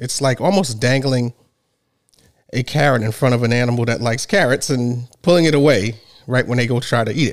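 With ordinary pitch variation and a fairly quick pace, this is a plain, everyday voice. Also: man, medium pitch for a man. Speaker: podcast host. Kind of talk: hosted podcast discussion with call-in guests.

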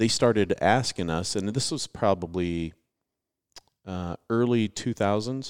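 A normal speaking voice, a man's, fairly low in pitch with ordinary pitch variation and a fairly slow pace, on a very clean recording with a silent background. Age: 40s. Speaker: restoration contractor and estimator. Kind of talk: casual interview.

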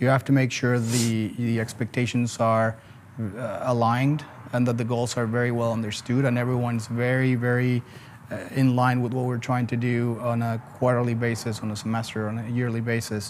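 A man with a Spanish accent speaks at a moderate pace and a medium pitch, his intonation monotone and flat. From Mexico City, Mexico. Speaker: logistics company co-founder. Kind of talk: casual interview. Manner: halting, many fillers.

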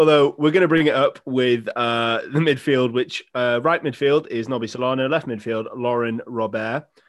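An ordinary speaking voice with hardly any pauses. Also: man, medium pitch for a man, moderate pace. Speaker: podcast host. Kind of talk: casual chat.

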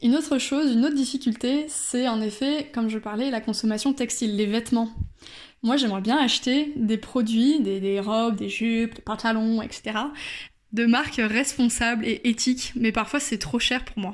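At a moderate pace, a woman talks with a fairly high pitch and fairly even intonation. The recording is very clean and the background silent. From France, Bordeaux. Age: 20s. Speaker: podcast contributor sharing her experience. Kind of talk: personal testimony voice note. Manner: hesitant with fillers.

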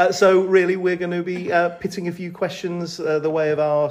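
A man speaks with a high-pitched voice. Noticeable background noise runs underneath. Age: 50s. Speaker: maths teacher. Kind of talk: casual chat.

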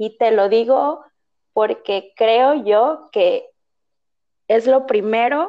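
In a quiet background, a woman speaks in a fairly high pitch with ordinary pitch variation. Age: 20s. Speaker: psychologist. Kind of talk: interview. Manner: hesitant, many fillers.

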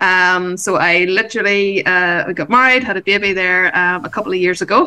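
This woman has a plain, everyday voice at medium pitch. She talks at a moderate pace. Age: 40s. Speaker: business coach and entrepreneur. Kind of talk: interview.

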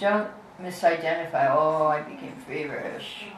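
A woman talks with a fairly low pitch and lively intonation. Noticeable noise sits in the background. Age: 70s. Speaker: spiritual teacher. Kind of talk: lecture. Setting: live class, streamed online.

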